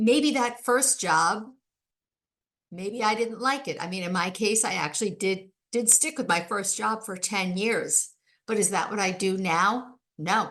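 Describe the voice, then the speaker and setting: With a normal speaking voice, a woman talks at a fairly slow pace and medium pitch with ordinary pitch variation against a quiet background. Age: 60s. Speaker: podcast host and life coach. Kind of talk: solo podcast monologue. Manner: conversational.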